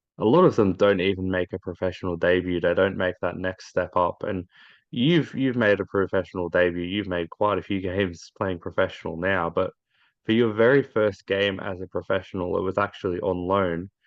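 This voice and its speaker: With an Australian accent, a man speaks in a very deep, low pitch at a fairly quick pace, keeping his intonation fairly even. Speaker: football interviewer. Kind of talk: interview.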